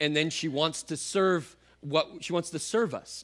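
Against a quiet background, a man talks in a fairly high pitch for a man. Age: 30s. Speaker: pastor. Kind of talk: sermon. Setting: church with congregation. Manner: animated.

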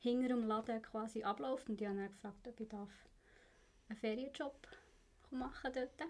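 A woman's fairly high pitch with a dark, mellow tone, ordinary pitch variation and a moderate pace. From Switzerland, Bern. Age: 20s. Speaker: apprentice instrument repairer. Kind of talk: casual interview.

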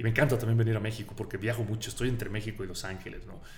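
Audible room echo surrounds a man talking at a very fast pace. His pitch is fairly low, and he has a Sonoran accent. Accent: Sonoran Mexican accent, noticeable. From Mexico, Sonora. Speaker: film director. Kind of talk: casual interview. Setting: studio.

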